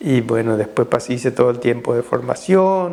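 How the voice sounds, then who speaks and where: An ordinary speaking voice moves at a fairly slow pace. Its pitch variation is ordinary. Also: man. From Paraguay (Caazapá, Villarrica). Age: 60s. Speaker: Jesuit priest. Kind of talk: interview testimony.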